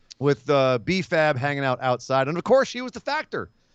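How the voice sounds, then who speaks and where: Over a quiet background, a man sounds animated, his pitch swinging very widely in a dry, close recording with no echo. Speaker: wrestling podcast host. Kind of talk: casual chat.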